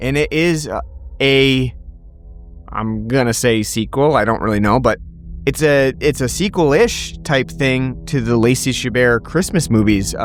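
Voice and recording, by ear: With music playing in the background, a man talks at a fairly slow pace in a medium pitch with ordinary pitch variation.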